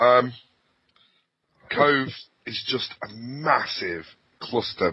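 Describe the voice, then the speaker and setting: A man talks with a strong English accent. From Lancashire, northern England. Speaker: podcast co-host, gamer. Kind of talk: casual chat.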